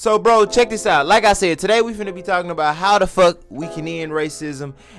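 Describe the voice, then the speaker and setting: Over music in the background, a man talks at a fairly quick pace with a high pitch, ordinary pitch variation, and big swings in loudness. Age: 20s. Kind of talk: casual talk to camera. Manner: casual, profanity-heavy slang.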